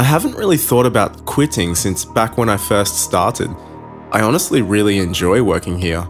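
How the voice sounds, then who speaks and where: A man's fairly low voice at a moderate pace, with music in the background. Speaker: horror story narrator. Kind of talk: horror story reading.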